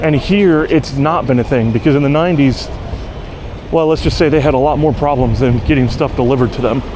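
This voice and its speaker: Over noticeable background noise, a man with an American accent talks at a fairly quick pace and very even loudness. His fairly high pitch shows ordinary variation. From United States. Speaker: bike courier and vlogger. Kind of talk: casual vlog monologue. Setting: outdoors, riding a bike.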